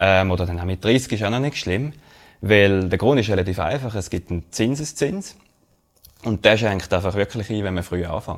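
The speaker has a Swiss accent. The pitch varies in an ordinary way. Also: man. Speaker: podcast co-host, finance researcher. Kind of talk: casual chat.

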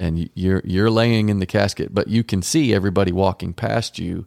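A man talks in a normal speaking voice, fairly low in pitch, with fairly even intonation. The pace is fairly quick, and the sound is dry and close with no echo. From Texas, Garland. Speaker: marriage podcast host. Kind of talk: casual chat.

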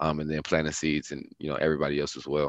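With an American accent, a man talks at a very fast pace and a very deep, low pitch. The background is quiet. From US Midwest, Milwaukee, Wisconsin. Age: 20s. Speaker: youth advocate. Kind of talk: interview. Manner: halting, many fillers.

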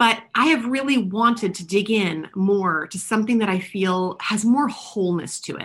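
A woman's somewhat breathy, medium-pitched voice runs on with hardly any pauses, ordinary pitch variation and big swings in loudness. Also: moderate pace. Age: 40s. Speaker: podcast host, personal development coach. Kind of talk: solo monologue podcast. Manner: casual with frequent fillers.

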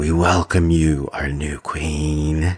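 A man puts on a character voice. It is very deep and low, with monotone, flat intonation. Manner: solemn, ceremonial intoning, echoing in a vast chamber.

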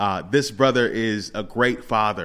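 Over a very clean recording with a silent background, a man with an unremarkable speaking voice talks at a fairly slow pace, his pitch fairly low and ordinary in variation. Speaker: podcast host. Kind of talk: casual interview chat.

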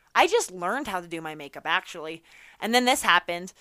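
With an American accent, a woman speaks in a bright, sharp tone. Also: very clean recording, silent background. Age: 20s. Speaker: podcast host. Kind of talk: motivational talk. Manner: casual.

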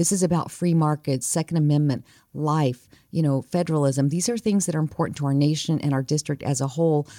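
Speaking very fast with an American accent, the voice has a dark, mellow tone, very even loudness and ordinary pitch variation in a very clean recording with a silent background. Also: woman, very deep, low pitch for a woman. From New Mexico, US. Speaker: politician. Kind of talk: interview.

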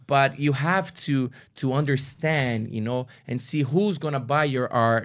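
Speaking at a fairly slow pace with a Brazilian accent, the voice comes through on a very clean recording with a silent background. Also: man, fairly high pitch for a man, ordinary pitch variation. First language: Portuguese. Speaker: artist. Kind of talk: casual chat. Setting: studio.

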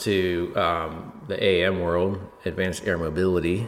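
A man speaks over noticeable background noise. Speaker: podcast host. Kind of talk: casual chat.

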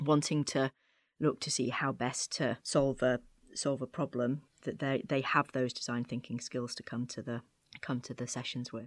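In a British accent, a woman with a very deep, low pitch speaks at a moderate pace with monotone, flat intonation, in a dry, close sound with no echo on a very clean recording with a silent background. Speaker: creative agency head, former journalist. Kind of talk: interview.

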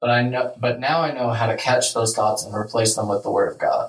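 With a normal speaking voice, a man speaks at a fairly quick pace in a medium pitch with ordinary pitch variation. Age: 20s. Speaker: faith podcast host. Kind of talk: casual chat.

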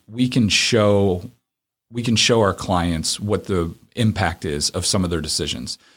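A man with an unremarkable speaking voice and fairly low pitch uses lively intonation in a very clean recording with a silent background. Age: 40s. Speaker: accounting firm co-founder. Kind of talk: interview.

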